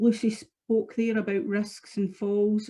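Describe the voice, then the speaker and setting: A woman speaks at a medium pitch in a Scottish accent. Her voice is somewhat breathy, with a dark, mellow tone. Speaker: product specialist. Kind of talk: webinar product presentation. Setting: online webinar.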